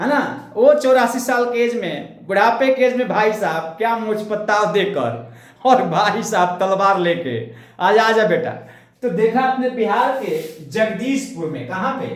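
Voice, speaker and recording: With audible room echo, a man speaks in an animated tone at a high pitch with ordinary pitch variation. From India, Bhojpuri region (Bihar/eastern UP). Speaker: history teacher. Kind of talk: lecture.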